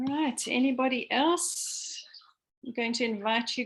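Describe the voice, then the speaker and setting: A woman's high-pitched voice. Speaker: education researcher. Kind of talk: online seminar Q&A. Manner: hesitant, many fillers.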